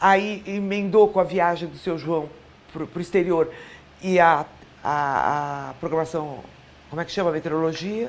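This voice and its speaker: This woman talks at a fairly slow pace, leaving long, frequent pauses. Her pitch is fairly low, with ordinary variation. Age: 60s. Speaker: former TV presenter and journalist. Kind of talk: interview.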